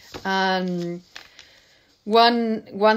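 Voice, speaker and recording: With a Spanish accent, a woman talks at a medium pitch with ordinary pitch variation. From Spain. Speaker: poet. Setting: video call. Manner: halting.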